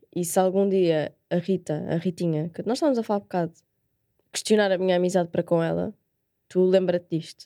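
A woman with a European Portuguese accent speaks at a fairly quick pace in a fairly low pitch, her tone dark and mellow, her intonation fairly even, and the sound dry and close with no echo. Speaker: podcast co-host. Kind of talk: casual chat.

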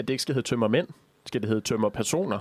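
A man's very fast, lively-toned delivery. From Jutland, Denmark. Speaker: student radio co-host. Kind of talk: casual chat. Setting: studio. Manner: goes into falsetto when amused.

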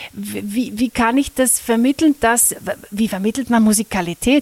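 The speaker goes at a moderate pace with ordinary pitch variation, and the sound is dry and close, with no echo. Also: woman. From Austria, Carinthia (Lesachtal). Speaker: music teacher and workshop trainer. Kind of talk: interview. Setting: recorded at a music school workshop. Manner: hesitant with fillers.

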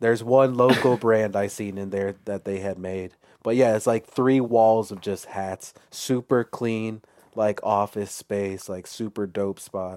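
The man has an ordinary speaking voice, fairly low in pitch, with fairly even intonation. He speaks at a fairly slow pace with a dry, close sound and no echo. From Chicago. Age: 30s. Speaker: clothing brand founder. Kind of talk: casual chat.

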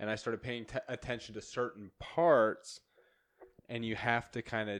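Against a quiet background, a man with an American accent uses a normal speaking voice at a moderate pace with fairly even intonation. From eastern Idaho. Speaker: podcast host. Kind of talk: casual chat.

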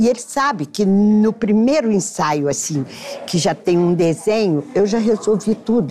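Noticeable background noise sits behind a woman with a medium pitch and lively intonation. She keeps a moderate pace at very even loudness. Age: 70s. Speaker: architect and costume designer. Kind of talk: casual interview. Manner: halting.

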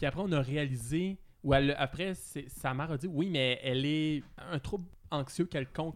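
The man's pitch is fairly high, with ordinary variation. He talks at a fairly slow pace and pauses long and often. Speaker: podcast co-host. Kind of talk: casual chat.

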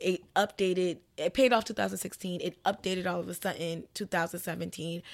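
A woman speaks at a fairly quick pace with hardly any pauses. Her pitch is fairly low, her intonation fairly even, and there is vocal fry. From Miami (Little Haiti), Haitian family. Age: 20s. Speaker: podcast co-host and co-producer. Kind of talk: casual chat.

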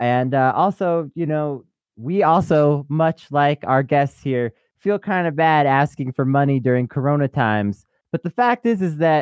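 Male speech at a fairly high pitch and moderate pace, an ordinary speaking voice with lively intonation. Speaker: podcast co-host. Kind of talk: casual interview chat.

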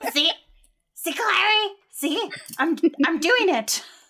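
A put-on character voice, strained and extremely high in pitch. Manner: strained, talking out of the corner of the mouth.

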